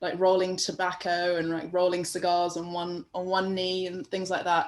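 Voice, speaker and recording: A woman with a strong London accent speaks at a moderate pace in a monotone, flat intonation. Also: medium pitch for a woman. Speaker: painter. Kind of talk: interview.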